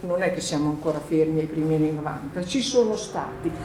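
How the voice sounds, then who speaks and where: A woman speaks with an Emilian accent. Room echo is audible, and background noise is noticeable. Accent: Emilian Italian. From Emilia, northern Italy. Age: 50s. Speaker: journalist and author, panelist. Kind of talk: panel discussion.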